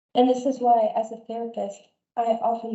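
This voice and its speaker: A woman with a plain, everyday voice speaks at a moderate pace and a fairly high pitch. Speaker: speech and language therapist. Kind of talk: webinar talk / interview moderation.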